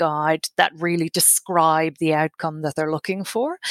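Monotone, flat intonation in an Irish accent, at a fairly slow pace, with a dry, close sound with no echo. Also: woman. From Ireland. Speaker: tenancy coordinator. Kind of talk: interview.

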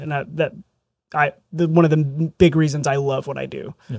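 With an American accent, a man speaks in an ordinary speaking voice at a fairly high pitch, keeping his intonation fairly even and his pace moderate. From southern Indiana, rural. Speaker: real estate agent. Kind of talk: interview. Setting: studio.

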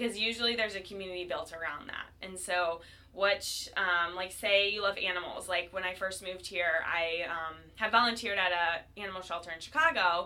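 Against noticeable background noise, a woman with an American accent talks fairly quickly in a medium pitch with fairly even intonation. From Ohio, US Midwest (Cleveland). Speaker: fitness instructor. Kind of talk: casual interview.

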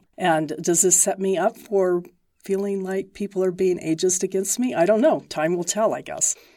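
At a moderate pace, a dark, mellow tone comes through on a very clean recording with a silent background. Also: woman. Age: 60s. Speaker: professor. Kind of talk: interview.

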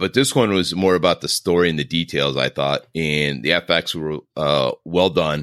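A man with a very deep, low pitch and vocal fry speaks at a moderate pace with ordinary pitch variation. The sound is dry and close, with no echo. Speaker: podcast co-host. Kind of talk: casual banter about horror movies. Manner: teasing, joking.

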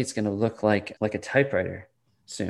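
Against a quiet background, a man has an unremarkable speaking voice at medium pitch. He talks at a fairly quick pace with ordinary pitch variation. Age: 40s. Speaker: sales author. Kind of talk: interview.

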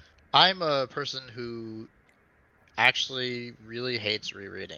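With ordinary pitch variation, the man's voice sits at a medium pitch. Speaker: fantasy author. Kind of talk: casual chat. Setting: video call. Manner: blunt.

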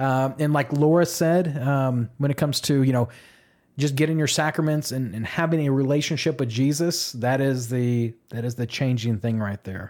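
On a very clean recording with a silent background, a man with an unremarkable speaking voice talks at a moderate pace in a medium pitch with ordinary pitch variation. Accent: American. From Oklahoma. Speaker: podcast host, deacon candidate. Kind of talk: casual chat.

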